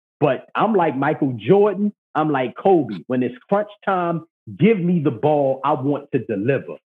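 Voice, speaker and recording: A man with an unremarkable speaking voice, fairly high in pitch, at a fairly slow pace with lively intonation. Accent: American. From Baltimore, Maryland. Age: 30s. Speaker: podcast host, guest. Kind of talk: casual chat.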